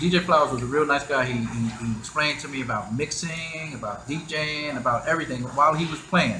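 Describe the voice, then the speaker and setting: A man with a New York accent speaks at a fairly quick pace with hardly any pauses, fairly high in pitch with ordinary variation. Audible room echo and noticeable background noise fill the recording. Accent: New York City. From Queens, New York City. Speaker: hip hop DJ pioneer. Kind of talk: interview storytelling. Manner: halting with many repetitions.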